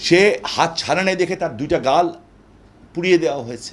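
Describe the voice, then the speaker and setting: A man speaks with ordinary pitch variation. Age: 60s. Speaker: political speaker. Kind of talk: interview. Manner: impassioned.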